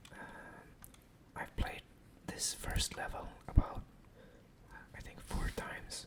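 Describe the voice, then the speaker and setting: Someone is whispering at a fairly slow pace. Noticeable background noise can be heard. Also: man. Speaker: ASMR gaming content creator. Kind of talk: ASMR whispered gameplay commentary. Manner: whispered, soft-spoken.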